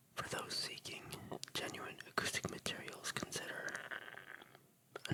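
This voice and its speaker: Noticeable background noise accompanies a whispered voice moving at a fairly slow pace. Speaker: music producer. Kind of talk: ASMR whispered reading of facts. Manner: whispered, soft-spoken.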